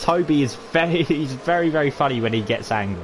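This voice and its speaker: Talking fairly quickly, a man is heard against noticeable background noise. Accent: British. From Britain. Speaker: sim racing league commentator. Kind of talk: live commentary. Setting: live stream. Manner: casual, chatty; animated.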